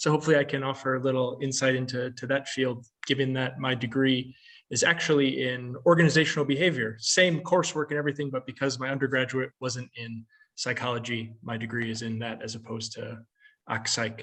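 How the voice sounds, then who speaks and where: A man with an American accent talks at a fairly quick pace in a medium pitch. His intonation is fairly even, in an unremarkable speaking voice. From United States. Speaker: occupational psychology researcher and consultant. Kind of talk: panel talk about career path.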